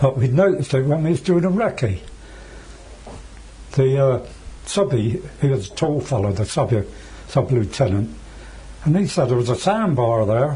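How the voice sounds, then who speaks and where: A moderate pace broken by long, frequent pauses, with very wide pitch swings. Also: man, medium pitch for a man. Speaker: war veteran. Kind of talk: interview answer.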